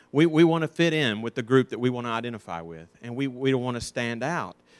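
A man with an Alabama accent talks at a fairly quick pace and a medium pitch. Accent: Southern US (Alabama). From US South, North Alabama. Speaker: Sunday school teacher. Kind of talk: Bible lesson. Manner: halting.

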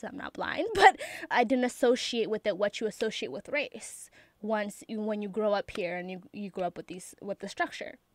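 A woman with an unremarkable speaking voice talks at a fairly quick pace with lively intonation, in a dry, close sound with no echo. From Ethiopia until age 8, then raised in US. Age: 20s. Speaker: college student. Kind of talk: interview. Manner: casual, laughing often.

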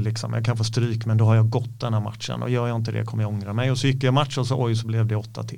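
A man speaks at a fairly quick pace in a dark, mellow, somewhat breathy voice with monotone, flat intonation. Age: 50s. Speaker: MMA coach and former fighter. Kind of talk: casual interview chat. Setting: studio.

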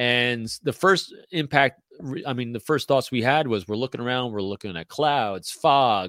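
On a very clean recording with a silent background, the sound is dry and close with no echo. A man talks in a plain, everyday voice at medium pitch with lively intonation. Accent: American. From New York State (Carmel, north of NYC). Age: 50s. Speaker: former Marine and intelligence officer, author and speaker. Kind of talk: casual interview chat.

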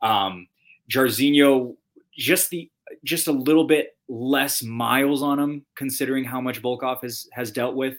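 A man at a medium pitch and fairly slow pace, on a very clean recording with a silent background. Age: 20s. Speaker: TV host and fight broadcaster. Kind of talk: casual chat. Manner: animated.

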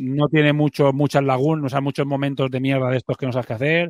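A man at a very fast pace and fairly high pitch, monotone and flat, in a dry, close sound with no echo against a quiet background. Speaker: podcast host. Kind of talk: casual chat.

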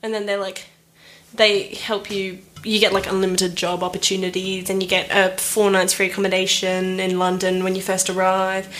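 In an Australian accent, a woman speaks at a medium pitch with monotone, flat intonation. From Australia (Perth). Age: 20s. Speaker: traveller back from Europe. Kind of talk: casual chat. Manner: fast.

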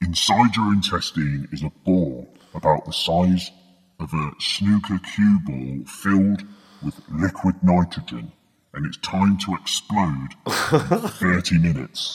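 A man in a put-on character voice, very deep and low in pitch, at a fairly slow pace. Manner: threatening, sinister.

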